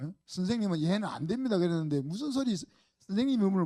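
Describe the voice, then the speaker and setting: Fairly quick and dark, mellow in tone, a man's voice swings very widely in pitch. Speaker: pastor. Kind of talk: sermon. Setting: church. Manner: animated.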